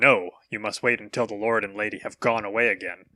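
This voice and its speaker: A man's put-on character voice, growling at a medium pitch and a fairly quick pace. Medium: read story.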